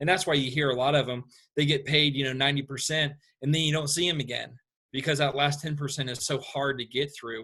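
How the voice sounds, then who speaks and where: Speaking very fast in a Southern US accent, a man with a fairly high pitch and a bright, sharp tone keeps his intonation monotone and flat on a very clean recording with a silent background. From US South, Atlanta. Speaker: construction company owner. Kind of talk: interview. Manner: hesitant, many fillers.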